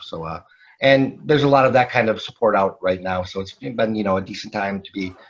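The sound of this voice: A man's fairly quick delivery with ordinary pitch variation. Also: fairly low pitch for a man.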